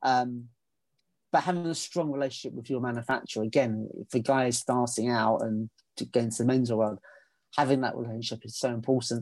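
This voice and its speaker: A man is speaking. He has a British accent. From England. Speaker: menswear consultant and trouser brand co-founder. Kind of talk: casual chat. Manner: repeats words, stammers.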